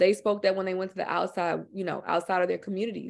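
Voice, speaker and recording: Over a quiet background, a woman with an American accent talks at a fairly quick pace in a normal speaking voice, her pitch medium. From Houston, Texas, with Louisiana Creole family. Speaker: filmmaker and author. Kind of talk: presentation and discussion. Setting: video webinar. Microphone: video call.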